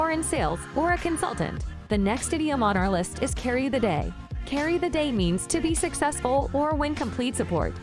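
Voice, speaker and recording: A woman's fairly quick speech runs over music in the background. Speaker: English teacher. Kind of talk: educational lesson to camera.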